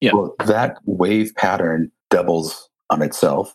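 Fairly slow speech from a man in an American accent. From USA. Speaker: sound healer and throat singer. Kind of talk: interview. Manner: halting.

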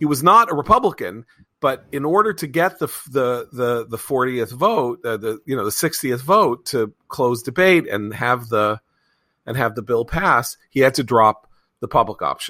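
A man's plain, everyday voice at medium pitch with lively intonation, in a very clean recording with a silent background. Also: moderate pace. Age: 50s. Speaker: magazine editor and podcast host. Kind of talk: casual political panel discussion.

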